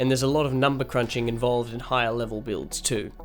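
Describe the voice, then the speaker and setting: A man's voice with music in the background. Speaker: gaming video creator. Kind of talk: video essay narration. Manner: dry, sarcastic humour.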